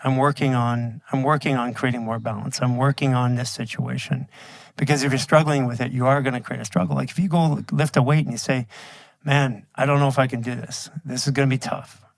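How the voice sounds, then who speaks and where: With a normal speaking voice, a man talks at a fairly quick pace and medium pitch, using ordinary pitch variation. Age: 50s. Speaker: bodywork instructor and entrepreneur. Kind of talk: casual chat.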